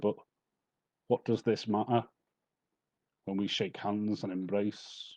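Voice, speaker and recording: At a fairly slow pace and with long, frequent pauses, a man speaks in a fairly low pitch and a dark, mellow tone with monotone, flat intonation against a quiet background. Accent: Liverpool. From Merseyside, England. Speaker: poet. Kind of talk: poetry reading.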